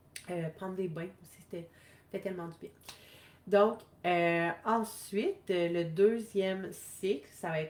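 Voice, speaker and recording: In a Quebec accent, a woman speaks with monotone, flat intonation. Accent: Québécois French. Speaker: wellness coach. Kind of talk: live stream talk. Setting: live video stream.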